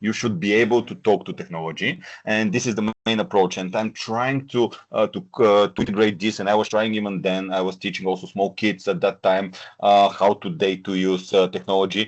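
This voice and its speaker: The speech moves at a fairly quick pace with hardly any pauses. It has a non-native accent and ordinary pitch variation. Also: man, fairly low pitch for a man. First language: not English. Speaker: corporate trainer. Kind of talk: interview. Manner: hesitant, frequent fillers.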